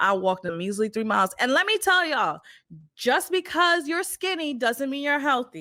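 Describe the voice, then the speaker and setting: A woman's raised, projected voice, high-pitched with a bright, sharp tone, an animated delivery and very wide pitch swings at a moderate pace in a very clean recording with a silent background. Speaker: podcast host. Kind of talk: casual chat. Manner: loud.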